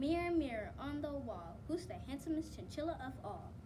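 Over loud background noise, a put-on character voice at a high pitch goes at a moderate pace. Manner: boastful, theatrical.

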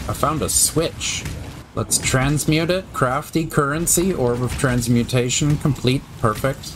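Over music in the background, a man talks at a fairly slow pace with a fairly high pitch and ordinary pitch variation. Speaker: gaming video creator. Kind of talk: gameplay commentary.

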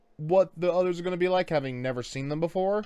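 The surroundings are quiet. A man does the talking. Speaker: reaction video host. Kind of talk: casual commentary. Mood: relaxed, amused. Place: home room. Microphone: studio mic.

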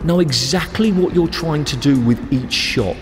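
Faint music in the background behind a man speaking at a moderate pace. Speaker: squash coach. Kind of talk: tutorial. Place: studio. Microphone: lapel.

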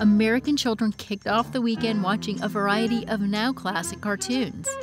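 A woman speaks in an upbeat tone at a moderate pace, with clear music in the background and a dry sound with no echo. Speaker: voice actor. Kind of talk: nostalgic documentary-style narration. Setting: studio. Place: booth.

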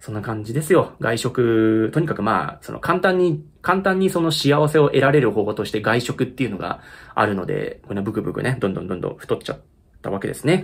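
A man talks at a fairly quick pace with a somewhat breathy voice and very wide swings in pitch. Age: 30s. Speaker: YouTuber and musician; YouTuber. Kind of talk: casual chat. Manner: halting; laughs often. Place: home room. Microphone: phone near.

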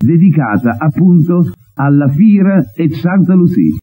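A man with a dark, mellow tone speaks at a very slow pace. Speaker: TV presenter. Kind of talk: TV host talk to camera. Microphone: old recording.

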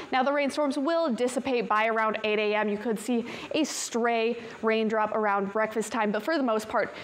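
A woman talks at a moderate pace in an upbeat tone, her pitch fairly high with ordinary variation. There is light background noise. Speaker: TV weather forecaster. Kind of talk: weather report. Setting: TV studio. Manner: upbeat, brisk, conversational; clear, polished broadcast delivery. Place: studio.

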